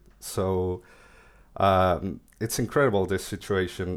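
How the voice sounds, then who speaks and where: A man with a Spanish accent speaks at a fairly low pitch on a very clean recording with a silent background. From Mexico. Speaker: crypto engineer. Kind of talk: interview.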